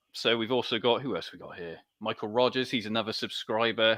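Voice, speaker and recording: At a moderate pace, a man talks with a bright, sharp tone and fairly even intonation. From southern England, Dorset. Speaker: gaming channel host. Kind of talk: live stream chat. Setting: live stream with chat.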